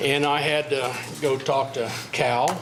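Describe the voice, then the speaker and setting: A man with a fairly high pitch talks over noticeable background noise, his voice carrying an audible room echo. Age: 70s. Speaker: local resident speaking at meeting. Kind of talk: public comment. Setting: city commission meeting.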